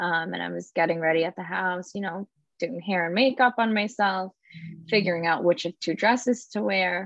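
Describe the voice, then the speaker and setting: The speaker has an ordinary speaking voice, with ordinary pitch variation and a moderate pace. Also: woman, medium pitch for a woman. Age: 30s. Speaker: bereaved daughter, blogger. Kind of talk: interview.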